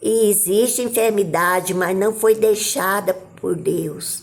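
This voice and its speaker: A woman speaks at a very slow pace. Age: 70s. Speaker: missionary preacher. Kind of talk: sermon.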